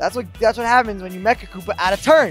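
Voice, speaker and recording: A man talks very fast in a high voice, excited and with lively intonation. Music plays in the background. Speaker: esports commentator. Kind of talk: esports match commentary. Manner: excited, fast, hype.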